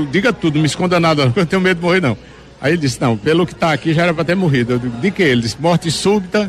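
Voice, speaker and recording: Noticeable background noise sits behind a man with a fairly high pitch. He speaks with lively intonation. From Northeast Brazil, Juazeiro do Norte, Ceará. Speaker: singer. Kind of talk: interview.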